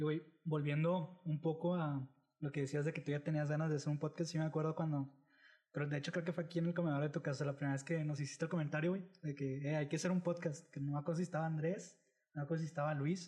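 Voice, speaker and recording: Very fast, monotone delivery in a dark, mellow tone, with flat intonation and very even loudness. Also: man, fairly high pitch for a man. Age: 20s. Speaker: podcast host. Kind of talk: casual chat.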